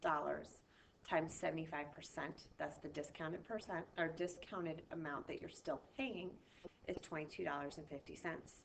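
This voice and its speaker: The pace here is moderate. It is a normal speaking voice. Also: woman. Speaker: math teacher. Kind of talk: recorded video lesson.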